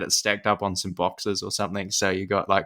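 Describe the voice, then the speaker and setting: He speaks with a New Zealand accent at a fairly quick pace. His voice sits fairly low in pitch. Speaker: podcast host. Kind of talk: casual chat. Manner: trailing off at sentence ends.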